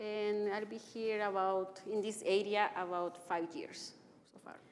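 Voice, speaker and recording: Over audible room echo, a woman with a Salvadoran accent speaks at a fairly slow pace with fairly even intonation. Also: medium pitch for a woman, big swings in loudness. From El Salvador. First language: Spanish. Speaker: physician and anti-racism trainer. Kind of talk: interview. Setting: church live stream.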